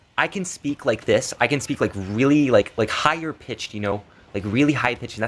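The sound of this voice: Using a put-on character voice, a man sounds nasal at a medium pitch. He talks at a fairly quick pace.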